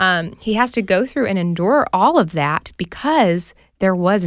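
In an ordinary speaking voice, a woman talks at a medium pitch with lively intonation, recorded very cleanly against a silent background. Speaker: studio staffer.

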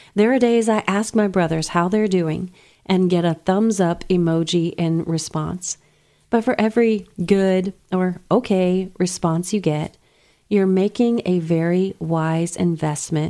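In an American accent, a woman speaks slowly-ish at a fairly low pitch, her voice raspy with a dark, mellow tone. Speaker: nurse practitioner and radio host. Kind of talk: radio talk show, answering listener questions. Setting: radio studio.

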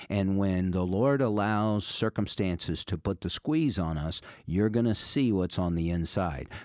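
Speaking at a fairly slow pace in a calm tone, the voice carries lively intonation over a very clean recording with a silent background. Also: man. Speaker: pastor and radio host. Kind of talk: radio sermon. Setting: radio studio.

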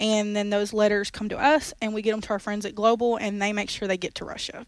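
A woman's plain, everyday voice, fairly high in pitch, at a fairly quick pace. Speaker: former radio show producer promoting a ministry campaign. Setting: studio.

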